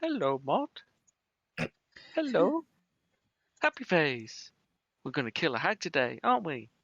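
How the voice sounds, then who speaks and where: Someone uses a put-on character voice at a moderate pace, leaving long, frequent pauses. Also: man, fairly high pitch for a man. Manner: playful, creepy.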